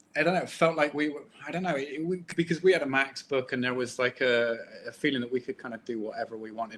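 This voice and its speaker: A man with a Bristolian accent talks very fast, with ordinary pitch variation. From Bristol, England. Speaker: comic book artist. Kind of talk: casual interview chat. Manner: halting.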